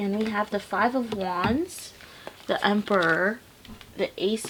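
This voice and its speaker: Noticeable background noise sits behind a woman speaking at a medium pitch. She talks at a fairly slow pace with fairly even intonation. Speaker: tarot reader. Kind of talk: tarot reading.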